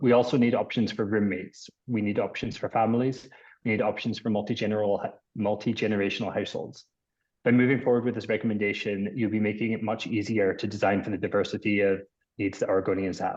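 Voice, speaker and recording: At a very fast pace, a man with a Scottish accent talks in a fairly low pitch with monotone, flat intonation against a quiet background. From Scotland. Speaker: architect. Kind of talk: public testimony. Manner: formal.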